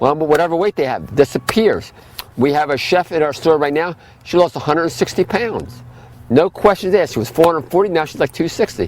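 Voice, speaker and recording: Talking fairly quickly, a man uses a fairly high pitch and lively intonation. The sound is dry and close with no echo, though noticeable background noise is present. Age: 60s. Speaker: health food store owner. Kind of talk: lecture. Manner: fast.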